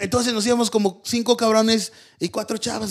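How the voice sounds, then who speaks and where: A man talks in a Mexican accent with a high pitch. His pace is fairly quick. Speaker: podcast host. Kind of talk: casual chat. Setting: studio.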